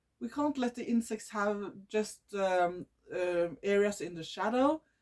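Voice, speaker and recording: A woman speaks in a Norwegian accent. Her intonation is lively. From Norway. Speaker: nature video creator. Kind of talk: casual talk to camera. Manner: halting, with false starts.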